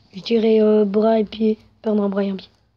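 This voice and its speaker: A woman's dark, mellow voice, fairly high in pitch, at a moderate pace. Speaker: YouTuber. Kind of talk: casual chat. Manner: loud.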